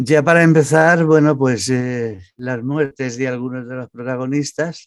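A man with a normal speaking voice talks at a fairly slow pace and medium pitch, with ordinary pitch variation. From Barcelona, Spain (born in Almería). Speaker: novelist, retired banker. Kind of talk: interview.

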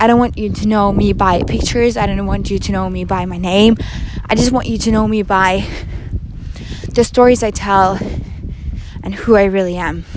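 A woman speaks at a moderate pace with long, frequent pauses over noticeable background noise. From Norway. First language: Norwegian. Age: 20s. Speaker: student podcaster. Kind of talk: casual monologue. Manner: animated.

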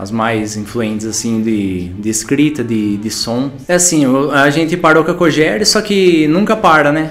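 A man's fairly high voice with very wide pitch swings, fairly slow pace, hardly any pauses, noticeable background noise and audible room echo. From São Paulo state interior, Brazil. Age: 30s. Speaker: musician. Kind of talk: interview monologue. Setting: in front of a camera. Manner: halting, stammering.

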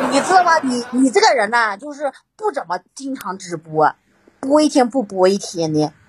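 A high-pitched woman's voice with very wide pitch swings. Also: moderate pace. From Guilin, Guangxi, southern China. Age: 30s. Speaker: caller. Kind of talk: casual chat.

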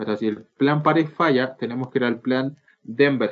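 A man talks at a moderate pace. He speaks with a Chilean accent. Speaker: podcast co-host, law student. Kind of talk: casual chat. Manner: halting.

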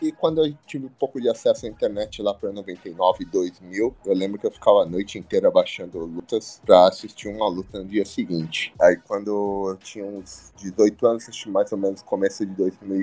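The recording is very clean, with a silent background. A man talks at a moderate pace with big swings in loudness and hardly any pauses. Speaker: professional wrestler. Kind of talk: interview.

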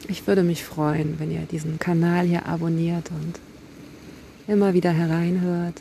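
Her voice is fairly low in pitch for a woman and flat, monotone in intonation. She speaks at a fairly slow pace. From Kiel, northern Germany. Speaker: poet and podcast host. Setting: outdoors on a beach by the sea.

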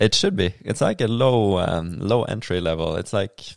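A man with a Norwegian accent speaks with ordinary pitch variation. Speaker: kayaker and local politician. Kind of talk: casual interview chat. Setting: at his home.

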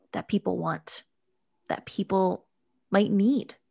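Against a quiet background, a woman at a medium pitch speaks at a fairly slow pace in an animated, enthusiastic tone. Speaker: podcast host. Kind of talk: podcast hosting, conversational and promotional.

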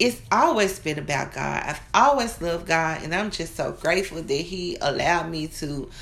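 In a room with audible echo, a woman speaks at a fairly slow pace in a bright, sharp tone. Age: 30s. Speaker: minister. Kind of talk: sermon.

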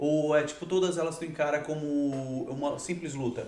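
A monotone, flat delivery in a Rio accent, with audible room echo and noticeable background noise. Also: man. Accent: Baixada Fluminense Rio. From Rio de Janeiro, Queimados (Baixada Fluminense). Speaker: podcast host. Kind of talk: casual interview. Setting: live podcast studio.

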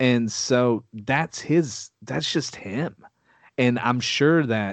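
Over a quiet background, a man speaks at a medium pitch with a Texan accent and ordinary pitch variation. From Texas. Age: 30s. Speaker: music producer. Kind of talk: casual chat. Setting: video call.

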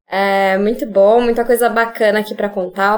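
Monotone, flat delivery from a woman with a fairly high voice at a fairly quick pace. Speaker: series host and business partner. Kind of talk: casual panel conversation. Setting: video call.

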